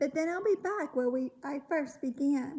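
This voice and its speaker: A woman performs a put-on character voice. Her pitch is high and her pace moderate. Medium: read story. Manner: calm, matter-of-fact.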